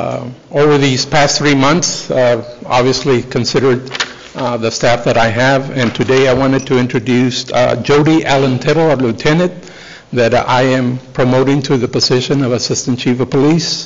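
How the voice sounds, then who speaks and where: A man speaks at a moderate pace with fairly even intonation. His loudness stays very even throughout. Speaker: police chief addressing council. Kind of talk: formal announcement speech. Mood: proud, formal. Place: hall. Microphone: podium.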